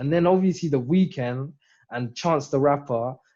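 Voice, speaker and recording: A somewhat breathy man's voice, fairly high in pitch, with a dark, mellow tone and ordinary pitch variation. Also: quiet background. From southern England. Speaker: independent rapper. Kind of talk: casual interview chat. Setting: video call. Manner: animated.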